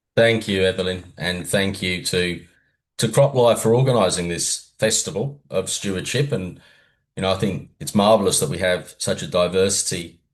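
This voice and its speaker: A man speaks at a moderate pace with an Australian accent. His pitch is fairly low, with ordinary variation. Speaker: environmental fund official. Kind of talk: panel talk.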